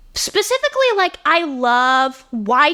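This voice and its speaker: A woman's high-pitched, raised and projected voice, bright and sharp in tone, with very wide pitch swings at a very slow pace, dry and close with no echo. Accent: American. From Ohio, US Midwest. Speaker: podcast host. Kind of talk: casual monologue. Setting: home, sitting on bed. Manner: loud.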